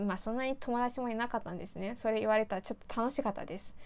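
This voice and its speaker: This is a woman speaking. Her pitch is high. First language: Mandarin Chinese (speaking Japanese). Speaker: YouTuber. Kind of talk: casual vlog monologue. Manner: chatty, laughing. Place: home room.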